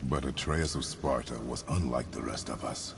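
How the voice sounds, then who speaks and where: The speaker uses a put-on character voice. Background noise is clearly audible. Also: man. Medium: machinima. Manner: terse, grave.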